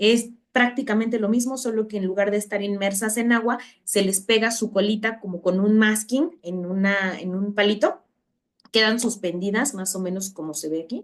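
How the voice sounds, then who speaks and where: At a moderate pace, a woman speaks in an ordinary speaking voice at a medium pitch. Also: ordinary pitch variation. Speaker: university lecturer. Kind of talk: online lecture.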